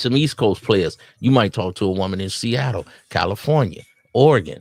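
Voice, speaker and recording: In a Southern US accent, an animated voice with lively intonation moves at a fairly quick pace in a very clean recording with a silent background. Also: man, fairly low pitch for a man. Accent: Southern twang. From US South. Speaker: dating advice streamer. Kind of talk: casual commentary.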